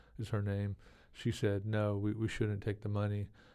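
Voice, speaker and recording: In a very clean recording with a silent background, a man with an American accent speaks at a fairly low pitch in a monotone, flat delivery with a dark, mellow tone. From Oklahoma (Anadarko), later Texas. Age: 50s. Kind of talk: interview conversation. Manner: halting, many fillers and repetitions.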